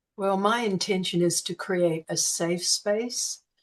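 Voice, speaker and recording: With an Australian accent, a woman speaks at medium pitch with ordinary pitch variation. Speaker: sound healing practitioner. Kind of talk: interview answer.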